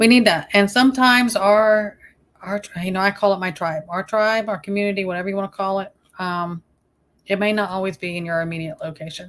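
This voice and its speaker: A woman with a Southern US accent speaks at a fairly quick pace and a medium pitch. Her intonation is fairly even, and the recording is very clean with a silent background. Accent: Southern US accent, she doubts it is thick. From US South. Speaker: YouTube live streamer. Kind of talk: casual live-stream chat.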